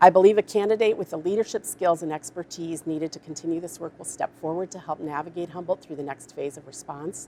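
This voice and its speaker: A woman talks at a very fast pace with hardly any pauses, her fairly low, dark and mellow voice keeping a fairly even intonation while her loudness swings widely. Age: 60s. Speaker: public health officer. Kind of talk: prepared statement; press briefing Q&A. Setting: media briefing.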